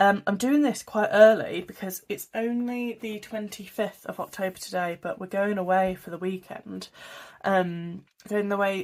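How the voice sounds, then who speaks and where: A woman with a British accent and ordinary pitch variation, in a very clean recording with a silent background. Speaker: budgeting vlogger. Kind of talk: casual talk to camera. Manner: chatty, rambling.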